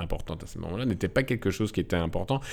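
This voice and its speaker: A man's voice over noticeable background noise. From Belgium, Nivelles (Walloon Brabant), Moroccan roots. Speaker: film editor and director. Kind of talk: casual interview. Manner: halting, many repetitions and hesitations.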